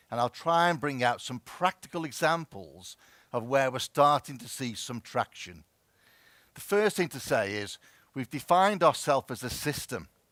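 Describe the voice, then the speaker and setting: A man's medium-pitched voice with a Merseyside accent, lively intonation, a moderate pace and big swings in loudness, in a dry, close recording with no echo. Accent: Merseyside, close to Scouse. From Wirral, northwest England. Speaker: health service chief executive. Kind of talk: conference presentation. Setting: stage with audience.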